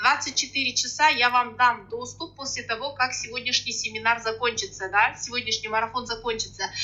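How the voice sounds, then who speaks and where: In a Kazakh accent, the voice moves at a fairly quick pace with hardly any pauses and fairly even intonation. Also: woman, high pitch for a woman. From Kazakhstan, rural Akmola region. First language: Kazakh (speaking Russian). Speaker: sales coach. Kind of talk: online webinar. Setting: online webinar.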